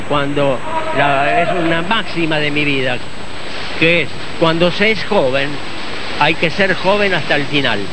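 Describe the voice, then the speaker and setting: At a fairly slow pace with long, frequent pauses, a man speaks in a dry sound with no echo amid noticeable background noise. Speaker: swimmer. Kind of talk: interview answer. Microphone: handheld.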